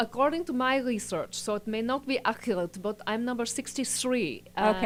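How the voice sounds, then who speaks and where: Noticeable background noise sits behind a woman's voice. She speaks at a moderate pace, with a fairly high pitch and ordinary pitch variation. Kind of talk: conversational interview.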